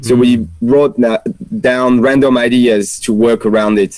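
A man with a French accent, medium pitch, fairly even intonation and a very slow pace. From France. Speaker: musician, podcast guest. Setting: outdoors in a backyard.

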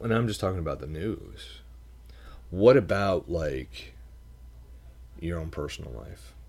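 A man with an American accent speaks at a fairly slow pace in a very deep, low pitch, with vocal fry, very wide pitch swings, big swings in loudness, and long, frequent pauses. The recording is very clean, with a silent background. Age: 30s. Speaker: podcast host. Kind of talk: solo reflective monologue. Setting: home desk.

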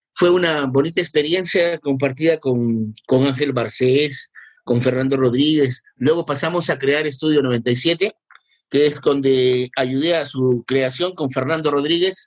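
Fairly slow, fairly even intonation from a man with a fairly high pitch and very even loudness. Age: 50s. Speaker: school assistant and radio presenter. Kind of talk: casual interview. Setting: video call. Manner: halting, repeats words.

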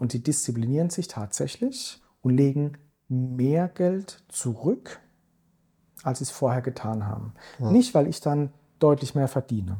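Speaking at a fairly slow pace with long, frequent pauses, a man with a fairly high, somewhat breathy voice and a dark, mellow tone shows ordinary pitch variation on a very clean recording with a silent background. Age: 40s. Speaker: investment strategist. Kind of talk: podcast interview. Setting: office.

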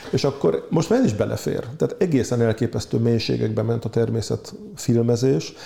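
The speech moves at a moderate pace with very even loudness. There are hardly any pauses. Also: man. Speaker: biologist and author. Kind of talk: interview. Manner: passionate.

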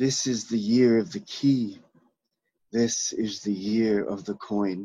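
A man with an American accent delivers his words at a very slow pace. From Canadian-US border, Maine. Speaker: poet. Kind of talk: poetry reading. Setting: video call.

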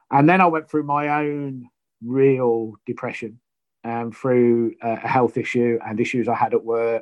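Fairly even intonation and a fairly slow pace from a man with a medium-pitched voice. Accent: East Midlands. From Leicester, England. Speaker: retired prison officer. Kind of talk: interview.

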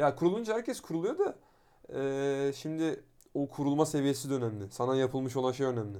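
Fairly quick speech from a man with a fairly high pitch and a dark, mellow tone, on a very clean recording with a silent background. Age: 20s. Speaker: podcast co-host. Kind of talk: casual chat.

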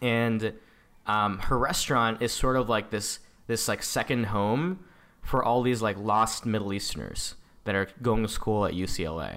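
This man has an unremarkable speaking voice at medium pitch with a General American accent. He talks at a moderate pace with ordinary pitch variation. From San Diego, California; Indian parents. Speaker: entrepreneur. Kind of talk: casual chat.

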